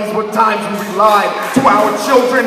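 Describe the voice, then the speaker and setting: With music in the background, a man speaks at a moderate pace in a raised, projected voice. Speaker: slam poet. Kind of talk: slam poetry performance. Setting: live stage with audience.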